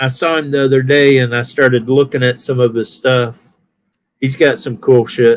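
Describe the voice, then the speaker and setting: A man with an American accent, medium-pitched and monotone, at a moderate pace. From US South (Alabama). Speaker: live streamer. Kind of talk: casual chat.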